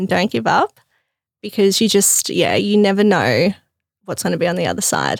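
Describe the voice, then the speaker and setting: Someone with an Australian accent is talking here. She is a woman speaking at a moderate pace. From Melbourne, Australia. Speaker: fashion business founder. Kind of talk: casual interview.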